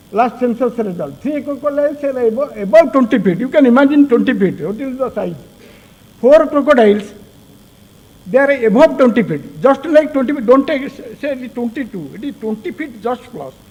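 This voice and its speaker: Loudness swings widely and pitch varies in an ordinary way over noticeable background noise. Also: man, extremely high pitch for a man. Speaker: crocodile researcher. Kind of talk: conference presentation. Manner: fast; halting.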